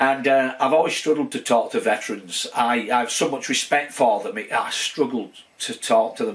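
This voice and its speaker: A man talks at a medium pitch with lively intonation. He hardly pauses at all. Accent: strong Lancashire. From northern England, Wigan. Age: 60s. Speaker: YouTuber exploring military fortifications. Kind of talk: casual vlog update. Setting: home man cave. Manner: fast; hesitant, many fillers.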